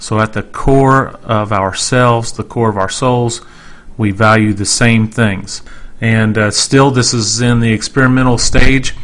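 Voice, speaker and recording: Speaking at a fairly slow pace with a flat, monotone delivery, a man with a medium pitch talks in an American accent. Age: 40s. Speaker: podcast host. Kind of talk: podcast introduction.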